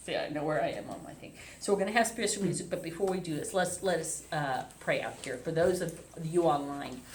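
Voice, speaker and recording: Over noticeable background noise and audible room echo, a woman speaks at a very fast pace. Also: fairly low pitch for a woman, ordinary pitch variation, big swings in loudness. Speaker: minister. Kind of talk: sermon. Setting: hotel event space, also streamed online. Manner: stumbling over words; loud.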